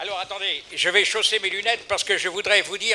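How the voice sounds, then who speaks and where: A man's high voice at a very fast pace, fairly even in intonation, over noticeable background noise. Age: 80s+. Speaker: audience member at public debate. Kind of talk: public meeting question. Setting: public hall with audience. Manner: halting.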